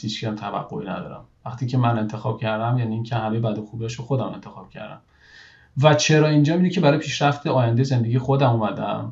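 Delivery is very fast. Pitch rises and falls an ordinary amount. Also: man. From Iran. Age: 30s. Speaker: engineering manager. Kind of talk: interview conversation.

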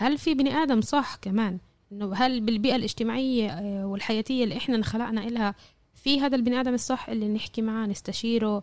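A woman talks at a fairly quick pace in a fairly high voice. It is an ordinary speaking voice with ordinary pitch variation. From Jaffa. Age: 20s. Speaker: university student. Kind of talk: interview.

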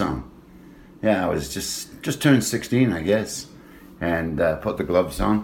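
A man with a Lancashire accent speaks with vocal fry and very wide pitch swings. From northern England. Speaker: former boxer and hockey coach. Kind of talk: casual interview storytelling.

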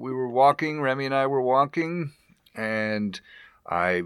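A man with a fairly high voice speaks very slowly and with lively intonation, recorded very cleanly against a silent background. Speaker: guest, host's husband. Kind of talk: casual chat.

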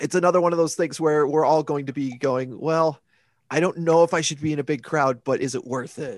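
A man with fairly high pitch speaks in a normal speaking voice at a moderate pace, the sound dry and close with no echo. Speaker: podcast co-host. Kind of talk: casual chat about pro wrestling.

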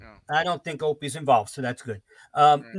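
A man's plain, everyday voice, fairly high in pitch, with ordinary pitch variation and a dry, close sound with no echo. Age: 60s. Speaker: music fan commentator. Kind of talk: casual chat.

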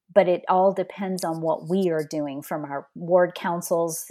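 On a very clean recording with a silent background, the speaker has a Texan accent and fairly even intonation. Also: woman. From Southeast Texas, near Louisiana. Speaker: human resources executive. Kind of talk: interview conversation.

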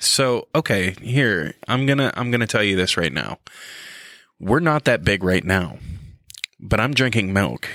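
A man with a fairly low pitch speaks at a fairly slow pace, using long, frequent pauses, vocal fry, lively intonation and a bright, sharp tone in a dry, close recording with no echo. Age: middle-aged. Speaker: podcast co-host. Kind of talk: casual chat. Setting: studio. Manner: animated.

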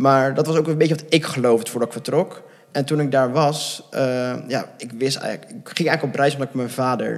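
A man talks fairly quickly, his pitch varying in an ordinary way, as noticeable noise runs in the background. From Netherlands, near Gouda. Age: 20s. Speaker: adoptee sharing his story. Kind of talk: interview.

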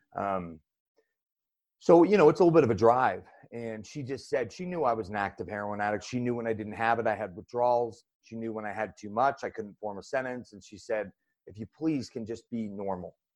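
An unremarkable speaking voice from a man with an American accent, medium in pitch with ordinary pitch variation. He talks at a fairly quick pace with big swings in loudness against a quiet background. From Utah, Salt Lake County. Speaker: fitness coach and business owner in addiction recovery. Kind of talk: casual interview.

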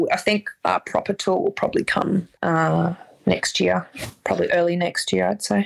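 With an Australian accent, a woman speaks in a dry, close sound with no echo. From Perth, Western Australia. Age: 30s. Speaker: guitarist in a band. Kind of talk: casual chat.

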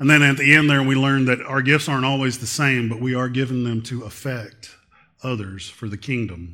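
A loud man's voice with a bright, sharp tone, medium pitch, fairly even intonation and fairly quick pace, in a very clean recording with a silent background. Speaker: lay preacher and school volunteer. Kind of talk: sermon. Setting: church.

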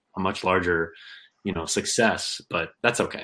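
A man's very deep, low-pitched voice with a Midwestern American accent, bright and sharp in tone, fairly even in intonation, over a quiet background. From Kansas. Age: 20s. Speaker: fishing YouTuber and tackle maker. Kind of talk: casual chat.

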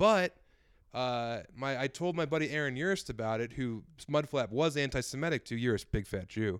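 The recording is very clean, with a silent background. A man with a plain, everyday voice talks at a medium pitch and a moderate pace, his intonation lively. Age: 30s. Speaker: comedian and author. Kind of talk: casual chat.

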